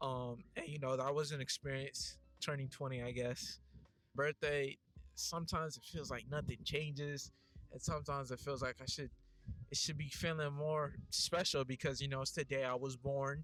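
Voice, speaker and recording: Over music in the background, a man speaks at a moderate pace in a monotone, flat delivery with fairly high pitch. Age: 20s. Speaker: youtuber. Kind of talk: casual vlog monologue. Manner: casual, hesitant with fillers.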